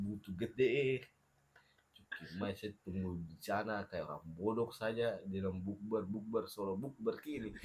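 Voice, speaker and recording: A man with a Papuan accent at a fairly slow pace. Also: fairly low pitch for a man. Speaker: podcast guest. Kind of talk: casual chat. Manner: animated.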